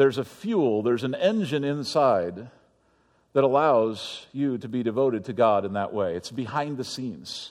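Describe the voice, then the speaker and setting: Against a quiet background, a man with an unremarkable speaking voice talks at a moderate pace and medium pitch. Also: lively intonation. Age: 40s. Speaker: pastor. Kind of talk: sermon.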